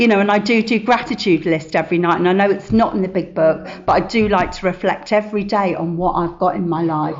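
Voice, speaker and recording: A woman talks at a very fast pace with hardly any pauses, her medium pitch showing ordinary variation. Noticeable background noise runs underneath. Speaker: recovering addict sharing at a meeting. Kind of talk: testimony. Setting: meeting room with audience.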